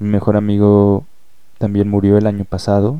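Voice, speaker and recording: The man's pitch is fairly low. He talks at a fairly slow pace. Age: 20s. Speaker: poet. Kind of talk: personal monologue with poetry reading.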